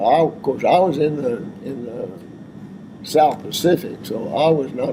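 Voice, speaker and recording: Over noticeable background noise, a man with a Texan accent talks at a fairly slow pace and a fairly high pitch. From Texas, Abilene. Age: 90s. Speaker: war veteran. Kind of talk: oral history interview. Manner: halting.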